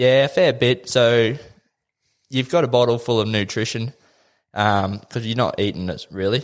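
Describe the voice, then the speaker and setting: Taking long, frequent pauses, a man with an Australian accent speaks at a moderate pace and medium pitch on a very clean recording with a silent background. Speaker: triathlete. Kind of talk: interview. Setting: studio.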